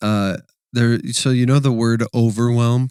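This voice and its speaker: Here is a voice with a Wisconsin accent. It sounds dry and close, with no echo. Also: man. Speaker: church podcast co-host. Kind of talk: casual podcast chat.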